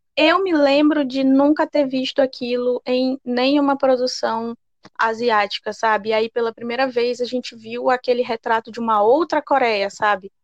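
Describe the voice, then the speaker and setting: At a moderate pace with hardly any pauses, a woman speaks at a high pitch with ordinary pitch variation, the sound dry and close with no echo. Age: 20s. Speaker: podcast co-host. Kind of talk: casual chat.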